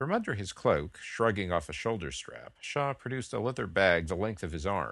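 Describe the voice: Lively intonation marks this plain reading aloud.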